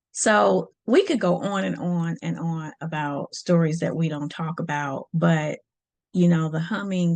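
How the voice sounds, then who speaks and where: This woman's voice sits at a very deep, low pitch. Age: 60s. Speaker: podcast host and life coach. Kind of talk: casual monologue. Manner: conversational, many fillers.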